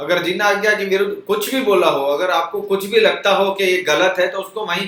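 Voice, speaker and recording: A man's high-pitched voice with audible room echo. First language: Gujarati or Kutchi (speaking Hindi). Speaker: religious YouTuber. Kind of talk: informal religious talk. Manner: conversational.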